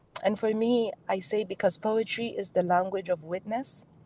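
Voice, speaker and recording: Delivery here is fairly slow. The tone is dark and mellow, and the pitch varies in an ordinary way. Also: woman. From Nigeria. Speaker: performance poet and advocate. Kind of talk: keynote speech on poetry and health advocacy.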